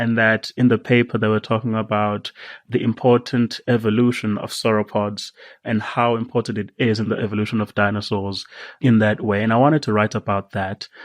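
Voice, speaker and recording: Over a quiet background, a man speaks at medium pitch and a fairly quick pace. His intonation is monotone and flat. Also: dry, close sound with no echo. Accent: Zulu. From South Africa. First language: Zulu. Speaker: science writer. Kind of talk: podcast interview. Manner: halting.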